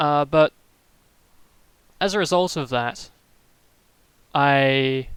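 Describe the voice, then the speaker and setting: With a slight Australian accent, a man speaks at a fairly high pitch with ordinary pitch variation. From Australia, Melbourne. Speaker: streamer. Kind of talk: casual live stream chat. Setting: live stream. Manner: soft-spoken; hesitant, many fillers.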